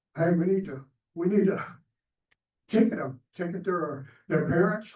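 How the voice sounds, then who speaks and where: With a Texas accent, a man speaks at a moderate pace and with fairly even intonation. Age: 70s. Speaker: citizen speaking at council meeting. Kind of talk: public comment. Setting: council chamber. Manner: halting.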